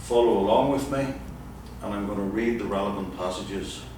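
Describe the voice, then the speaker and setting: In an Irish accent, a man talks at a moderate pace, with audible room echo and noticeable background noise. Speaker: firearms instructor, former detective. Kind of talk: lecture. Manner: formal.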